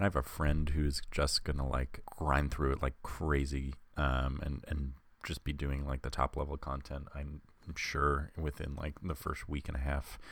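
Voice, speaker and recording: A man speaks at a moderate pace in a very deep, low voice. His delivery is flat and monotone, with vocal fry. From Long Island. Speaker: podcast co-host. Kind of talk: casual chat.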